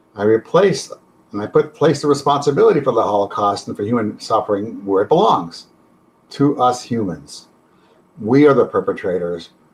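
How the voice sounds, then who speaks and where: A man at a medium pitch, somewhat breathy, with lively intonation and a fairly quick pace. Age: 70s. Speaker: counselor. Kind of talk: testimony.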